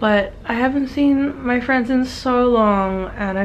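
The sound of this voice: Woman with an Australian accent, slow pace, fairly even intonation.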